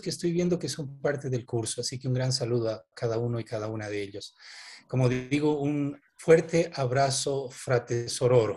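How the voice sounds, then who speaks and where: At a moderate pace, a man with a fairly high, somewhat breathy voice and a dark, mellow tone speaks against a quiet background. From Bolivia. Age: 50s. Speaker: development worker, anthropologist. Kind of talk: online panel presentation.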